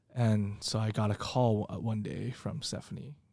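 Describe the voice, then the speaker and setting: A man talks in a dark, mellow tone that carries some breathiness. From Taiwan. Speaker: chef and restaurant owner. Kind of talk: casual interview chat.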